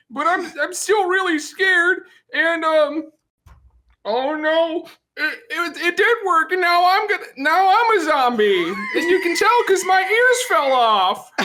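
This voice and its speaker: A put-on character voice at a fairly slow pace. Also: man, extremely high pitch for a man. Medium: role play. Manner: nervous, hesitant.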